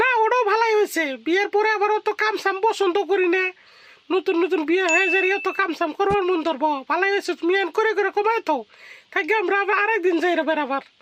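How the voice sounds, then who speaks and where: A woman does a cartoonish character voice at an extremely high pitch, speaking fairly quickly with very even loudness. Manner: blunt, colloquial.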